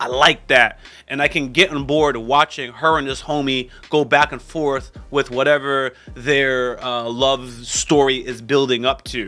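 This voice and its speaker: Music plays in the background as a man speaks at a fairly slow pace. His pitch is medium and his intonation monotone and flat. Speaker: YouTube reviewer. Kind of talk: casual commentary.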